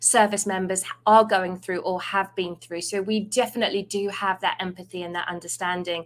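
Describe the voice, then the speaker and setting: A woman with an English accent at a moderate pace, ordinary pitch variation, on a very clean recording with a silent background. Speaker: recruiting team lead. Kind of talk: livestream presentation.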